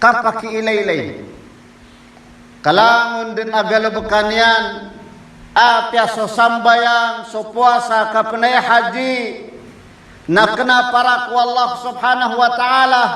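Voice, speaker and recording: Raising and projecting his extremely high voice, a man speaks at a moderate pace in a flat monotone, with long, frequent pauses and audible room echo. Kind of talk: sermon.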